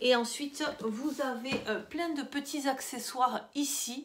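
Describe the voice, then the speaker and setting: Very slow speech amid noticeable background noise. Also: woman. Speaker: lifestyle vlogger. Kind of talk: casual haul video. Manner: soft-spoken.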